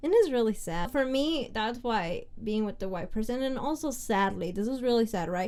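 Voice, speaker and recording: This woman speaks with a Spanish accent at a fairly high pitch. Her intonation is lively, with hardly any pauses. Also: moderate pace. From Peru. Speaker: podcast co-host. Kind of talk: casual chat.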